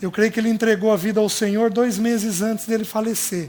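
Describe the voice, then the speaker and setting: A man's high-pitched voice at a moderate pace. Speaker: preacher. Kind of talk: sermon.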